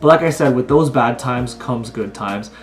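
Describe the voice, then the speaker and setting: A man at medium pitch with ordinary pitch variation, a moderate pace and noticeable background noise. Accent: Canadian. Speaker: college student vlogger. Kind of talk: casual vlog monologue.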